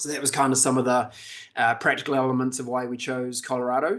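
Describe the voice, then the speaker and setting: A man with a New Zealand accent speaks at medium pitch in a flat monotone. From New Zealand, Auckland. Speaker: leadership development presenter. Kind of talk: webinar presentation. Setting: video call. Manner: casual, conversational.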